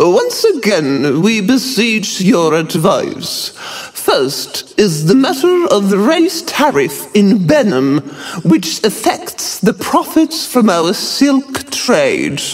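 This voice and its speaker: A man puts on a character voice that is shrill, wheezy and high-pitched. He speaks at a very slow pace. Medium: read story. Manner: ceremonial, dramatic.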